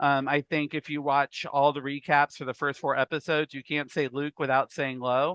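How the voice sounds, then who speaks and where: This man's pitch is fairly high. He speaks with hardly any pauses. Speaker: reality game contestant. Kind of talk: interview. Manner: fast; animated.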